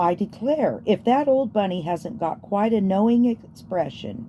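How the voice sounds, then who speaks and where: In a put-on character voice, a woman of medium pitch talks at a moderate pace over clear background noise with a rumbling sound. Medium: read story. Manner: brisk, grumbling.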